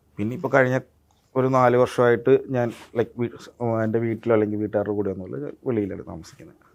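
Pitch variation in this man's speech is ordinary. His voice sits in the medium pitch range. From Kerala, India (Idukki, then Ernakulam from age 7). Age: 20s. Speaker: actor. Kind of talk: interview. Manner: words not fully pronounced.

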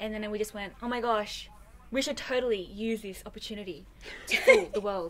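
Against light background noise, a woman with an Australian accent speaks at a fairly quick pace, her fairly high pitch following a fairly even intonation. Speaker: singer. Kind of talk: interview answer. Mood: playful, laughing storytelling. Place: home room.

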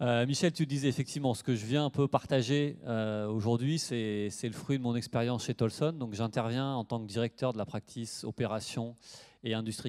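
A man with ordinary pitch variation against a quiet background. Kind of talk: lecture.

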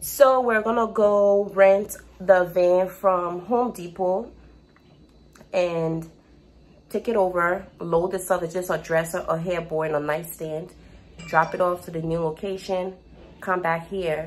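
The delivery comes at a fairly slow pace with fairly even intonation and long, frequent pauses. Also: woman. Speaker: vlogger. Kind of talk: casual vlog chat. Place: kitchen. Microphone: phone near.

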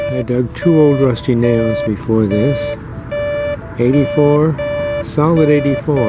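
Clear music plays in the background, and the sound is dry with no echo. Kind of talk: casual vlog commentary. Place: open country. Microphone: phone near.

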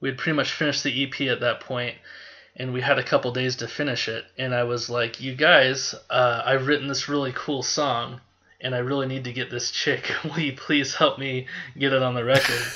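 Over noticeable background noise, a man talks in a monotone, flat delivery at a medium pitch. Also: moderate pace. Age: 30s. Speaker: podcast guest, music fan. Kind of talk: casual chat.

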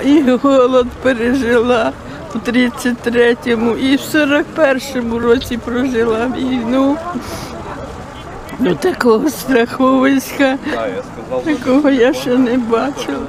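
A woman's high-pitched voice at a very slow pace, with monotone, flat intonation and long, frequent pauses, in a dry sound with no echo and noticeable background noise. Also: very even loudness. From Kyiv region, Ukraine. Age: 80s+. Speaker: evacuated villager. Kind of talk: interview answer. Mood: distressed, pleading. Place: street. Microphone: phone near.

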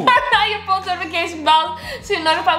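A woman projects her raised voice at a very fast pace, with audible room echo and light background noise. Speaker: couple vlogger, co-host. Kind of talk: casual vlog chat. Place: home room. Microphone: camera far.

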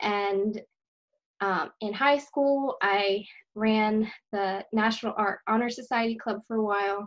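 Against a quiet background, a woman talks at a fairly slow pace, her pitch fairly high and her intonation fairly even. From Pennsylvania, US. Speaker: artist and graphic designer; guest. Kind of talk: interview. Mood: friendly, smiling. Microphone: video call.

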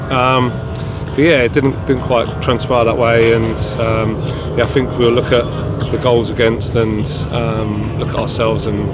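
Music plays behind a man speaking at a moderate pace. He takes long, frequent pauses, and the sound is dry with no echo. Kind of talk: interview answer. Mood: disappointed, reflective. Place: stadium.

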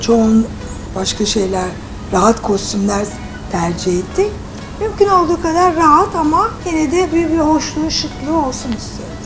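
Moderate pace and very wide pitch swings amid noticeable background noise. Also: woman, high pitch for a woman. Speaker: actress. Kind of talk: interview answer. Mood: relaxed, chatty. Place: home room.

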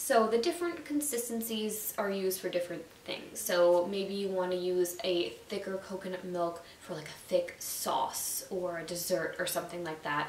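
Against noticeable background noise, a woman with a medium-pitched voice talks at a moderate pace. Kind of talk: casual YouTube explainer. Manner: casual, conversational.

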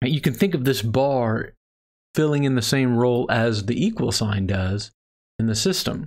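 A man with a Texan accent speaks at medium pitch and a moderate pace, with ordinary pitch variation and very even loudness against a quiet background. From Texas. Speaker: math instructor. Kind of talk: lecture. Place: home room.

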